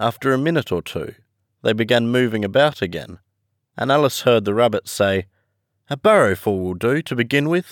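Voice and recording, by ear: The background stays quiet. The intonation is lively while someone reads aloud in a natural voice.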